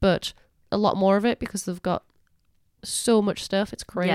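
A woman's enthusiastic voice in a Geordie accent, with a dry, close sound and no echo. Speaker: podcast co-host. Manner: chatty, enthusiastic.

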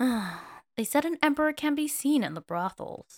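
Mumbling in a put-on character voice, a woman with a high pitch makes very wide pitch swings at a moderate pace in a dry, close sound with no echo. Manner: sulky and pouty, mumbling.

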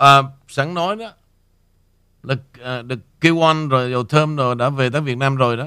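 A man with a fairly high pitch and a bright, sharp tone speaks at a moderate pace. His pitch varies in an ordinary way, and he takes long, frequent pauses. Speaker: radio host. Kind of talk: casual chat.

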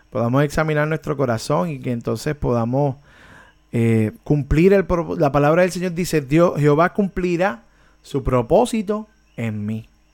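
A man speaks with fairly high pitch and lively intonation. His pace is fairly slow. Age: 40s. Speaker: worship ministry teacher. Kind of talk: online discipleship class. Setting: online video meeting. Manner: hesitant, many repetitions.

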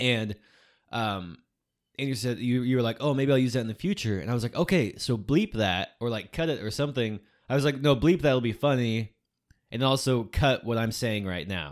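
A normal speaking voice with lively intonation at a fairly quick pace. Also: man, medium pitch for a man, very clean recording, silent background. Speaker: podcast host. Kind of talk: casual chat.

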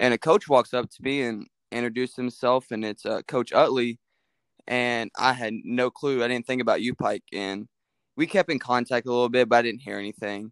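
Recorded dry and close with no echo and a silent background, a man with an American accent speaks fairly quickly at a medium pitch and with fairly even intonation. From Kentucky, Mount Washington near Louisville. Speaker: college baseball player. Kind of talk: interview.

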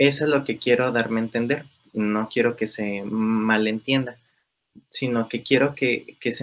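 A man speaks at a fairly slow pace with a medium pitch and fairly even intonation. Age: 20s. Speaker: primary school teacher. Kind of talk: interview conversation. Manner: halting, many fillers.

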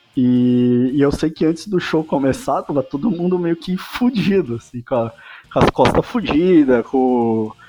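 With lively intonation and a fairly high pitch, a man speaks at a fairly slow pace over noticeable background noise. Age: 30s. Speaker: rock band guitarist. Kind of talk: casual interview chat.

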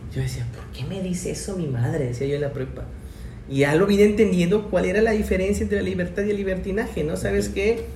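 Amid noticeable background noise and audible room echo, a man with a fairly high pitch talks at a very fast pace, his voice making very wide pitch swings. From Mexico, Chiapas (Tuxtla Gutiérrez). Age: 20s. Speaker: teacher. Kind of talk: casual chat.

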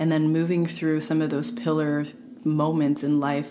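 Audible room echo and noticeable background noise accompany a woman whose very deep, low pitch moves at a fairly slow pace. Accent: Montreal. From Montreal, Quebec. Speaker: movement specialist. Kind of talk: casual chat.

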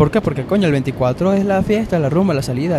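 Amid noticeable background noise, a man with a Venezuelan accent talks at a fairly quick pace. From Venezuela, Valencia. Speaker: podcaster. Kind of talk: casual monologue. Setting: on an airplane in flight.

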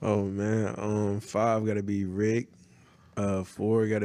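A man's fairly low, dark, mellow voice, very slow in pace and monotone and flat in intonation. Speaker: clothing brand founder. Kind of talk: casual interview.

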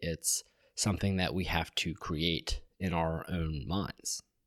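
At a fairly slow pace, a man with an American accent speaks on a very clean recording with a silent background. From US South, Georgia (Atlanta area). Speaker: podcast co-host, medical student. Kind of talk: casual chat.

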